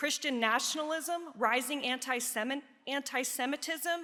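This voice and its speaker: A woman with a slight Pennsylvania accent projects a raised voice at a high pitch, her tone bright and sharp. She keeps a moderate pace and fairly even intonation. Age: 50s. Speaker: nurse researcher and educator. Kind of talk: conference presentation.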